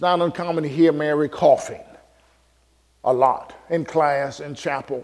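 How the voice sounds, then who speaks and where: A man with an American accent speaks at a fairly slow pace, with long, frequent pauses. His intonation stays fairly even while his loudness swings widely. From US Midwest, Chicago. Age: 60s. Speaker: pastor and seminary professor. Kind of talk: sermon. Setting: church with congregation.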